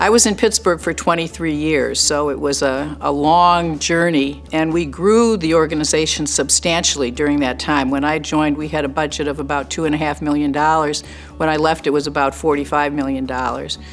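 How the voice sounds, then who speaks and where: With music in the background, a woman speaks at a fairly quick pace with hardly any pauses, her very deep, low pitch carrying fairly even intonation. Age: 70s. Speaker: retired nonprofit executive. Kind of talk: interview testimony.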